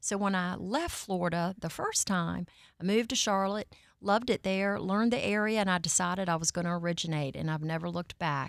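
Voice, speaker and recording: A woman with a Southern US accent speaks at a moderate pace and medium pitch with ordinary pitch variation, recorded very cleanly against a silent background. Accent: Southern twang. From Virginia, Richmond. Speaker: mortgage loan officer. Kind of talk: interview.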